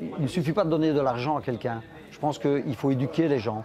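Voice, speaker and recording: Over noticeable background noise, a man with a medium pitch talks at a moderate pace with ordinary pitch variation. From Charleroi, Belgium (Spanish immigrant family). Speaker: interviewee, son of immigrants. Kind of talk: documentary interview. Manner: halting, many hesitations.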